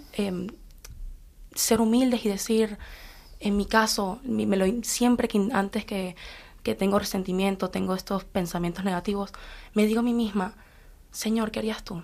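A woman at a fairly slow pace and medium pitch, fairly even in intonation, with long, frequent pauses. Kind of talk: faith sharing on live radio.

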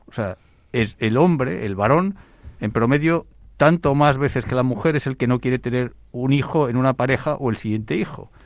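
Moderate in pace with ordinary pitch variation, this is an unremarkable speaking voice. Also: man, medium pitch for a man, quiet background. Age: 60s. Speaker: demography expert. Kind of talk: radio panel discussion.

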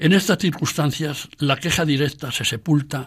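A man's plain, everyday voice, fairly high in pitch, at a moderate pace, on a very clean recording with a silent background. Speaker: radio program presenter and essayist. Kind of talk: scripted talk. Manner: formal.

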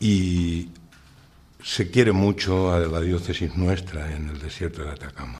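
A man speaks at a fairly slow pace. His voice is very deep and low, with ordinary pitch variation. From Spain, Valencia region (Utiel). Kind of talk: radio interview testimony.

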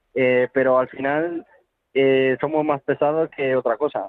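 A man's voice at medium pitch. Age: 20s. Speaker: circus trapeze artist. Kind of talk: interview. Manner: halting, repetitive.

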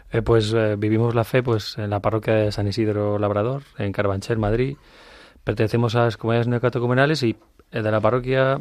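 A man speaks at a fairly quick pace in a flat monotone. The background is quiet. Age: 40s. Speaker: industrial engineer, father. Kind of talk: testimony. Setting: studio. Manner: halting.

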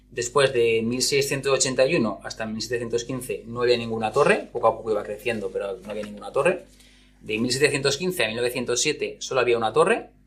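A man speaks at a fairly slow pace with ordinary pitch variation. His loudness swings widely. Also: medium pitch for a man. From Spain, Zaragoza (Aragon). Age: 30s. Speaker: school counselor. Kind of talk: interview. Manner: halting, with repetitions.

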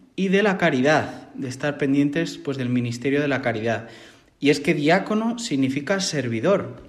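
With lively intonation and audible room echo, a man speaks in a fairly high voice. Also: moderate pace. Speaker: seminarian about to be ordained deacon. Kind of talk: interview.

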